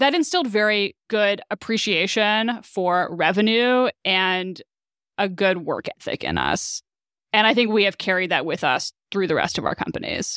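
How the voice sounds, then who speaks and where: A woman with a normal speaking voice of medium pitch talks at a moderate pace with ordinary pitch variation, in a very clean recording with a silent background and a dry, close sound with no echo. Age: 30s. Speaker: startup co-founder and CTO. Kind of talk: interview.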